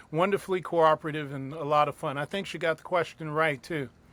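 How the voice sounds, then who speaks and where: A man with a New York accent speaks at a fairly high pitch. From US, New York City. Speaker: circus ringmaster and opera-trained singer. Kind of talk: interview.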